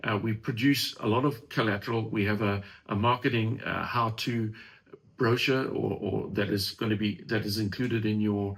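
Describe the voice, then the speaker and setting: A somewhat breathy voice at a moderate pace. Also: man. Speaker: franchise company presenter. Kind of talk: webinar presentation with Q&A.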